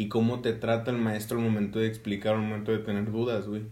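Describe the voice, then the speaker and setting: A man speaks. The room echo is audible. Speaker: podcast host, engineering student. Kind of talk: casual chat.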